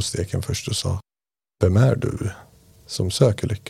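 On a very clean recording with a silent background, a man speaks at a moderate pace in a fairly low, dark, mellow, somewhat breathy voice with fairly even intonation. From Iran. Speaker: meditation teacher. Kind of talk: casual chat; guided meditation.

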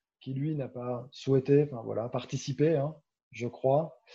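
A man talks at a moderate pace with a medium pitch and fairly even intonation. His tone is dark and mellow, and somewhat breathy. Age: 30s. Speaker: sports journalist. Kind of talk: interview. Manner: hesitant.

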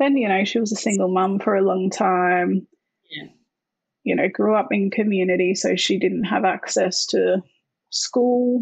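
With an Australian accent, a woman speaks at medium pitch and a fairly slow pace, her intonation fairly even. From Australia, Northern Territory. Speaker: founder of a women's organisation, former dancer. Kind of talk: interview.

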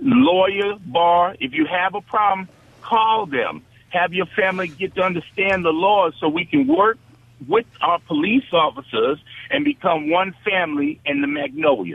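With an American accent, a man speaks at a moderate pace, his high pitch carried by lively intonation. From New York. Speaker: radio caller. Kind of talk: call-in comment. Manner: animated.

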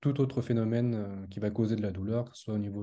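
At a fairly quick pace, a man talks in a fairly low pitch with a dark, mellow tone and flat, monotone intonation. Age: 30s. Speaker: veterinarian. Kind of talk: interview.

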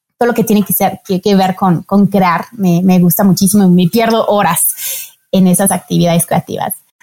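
A woman's medium-pitched, somewhat breathy voice with a dark, mellow tone, fairly even intonation and very even loudness, in a dry, close sound with no echo. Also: moderate pace. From France. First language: French (speaking Spanish). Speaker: marketing manager of a donor registry. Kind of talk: interview. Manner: hesitant, many fillers.

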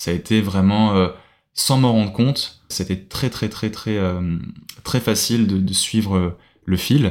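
Over a silent background on a very clean recording, a man speaks at a very slow pace. His pitch is fairly low and his intonation fairly even. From France, Paris. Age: 20s. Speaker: backpacker and freelance videographer. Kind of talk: casual interview. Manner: hesitant, many fillers.

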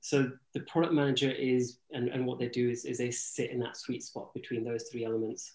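Speaking with an English accent at a fairly quick pace, the voice stays monotone with flat intonation. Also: man, medium pitch for a man. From England. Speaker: product manager, e-commerce guest. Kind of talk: casual podcast interview. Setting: Sydney, Australia.

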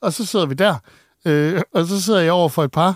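A man at a high pitch and a moderate pace, on a very clean recording with a silent background and a dry, close sound with no echo. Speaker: radio host. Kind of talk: casual chat.

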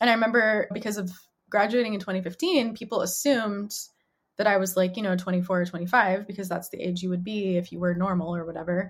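A somewhat breathy woman at a medium pitch speaks fairly quickly in an American accent with fairly even intonation, on a very clean recording with a silent background. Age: 20s. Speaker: writer and activist. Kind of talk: casual interview.

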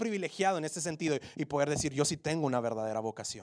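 A man rattles along at a very fast pace in a fairly high pitch, his intonation lively. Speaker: preacher. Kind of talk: sermon. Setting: church. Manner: earnest, urgent, exhortative; direct, pleading with the congregation.

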